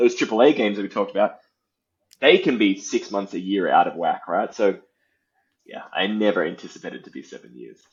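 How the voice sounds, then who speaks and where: Speaking fairly quickly with an Australian accent, a man shows big swings in loudness. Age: 30s. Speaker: indie game developer. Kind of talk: interview.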